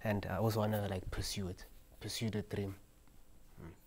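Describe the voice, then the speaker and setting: The man's voice is somewhat breathy and fairly low in pitch. He speaks at a fairly slow pace with monotone, flat intonation. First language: not Portuguese (speaking Portuguese). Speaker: football player. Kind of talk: interview answer in English.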